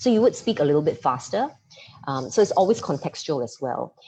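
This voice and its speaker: A woman is speaking. Her pitch swings very widely. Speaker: presentation coach, former radio and TV presenter. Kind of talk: online masterclass talk. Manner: fast.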